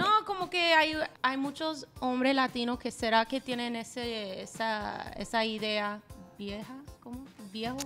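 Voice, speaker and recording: A woman with a high voice speaks at a fairly slow pace and with ordinary pitch variation, while faint music plays in the background. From United States. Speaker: Spanish-language radio host; podcast guest, radio host. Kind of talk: interview answer. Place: studio. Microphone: studio mic.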